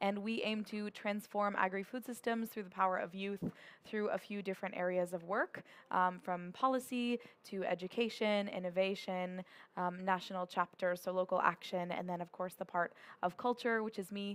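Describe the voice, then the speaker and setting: With an American accent, a woman speaks in a plain, everyday voice at medium pitch and a moderate pace, with fairly even intonation on a very clean recording with a silent background. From United States. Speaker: youth food organization leader. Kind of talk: panel discussion.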